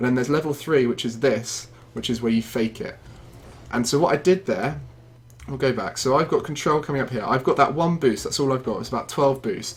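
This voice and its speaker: A somewhat breathy man's voice of medium pitch, fairly quick pace and ordinary pitch variation. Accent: British. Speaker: gaming video creator. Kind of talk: gameplay tutorial commentary. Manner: fast.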